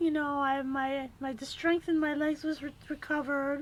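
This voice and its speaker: This is a woman's voice. It sounds squeaky. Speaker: kidney patient vlogger. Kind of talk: personal testimony. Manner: halting, many fillers.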